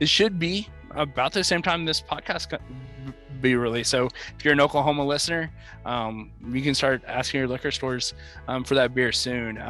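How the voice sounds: A man speaks at a medium pitch. Music sits in the background. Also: ordinary pitch variation.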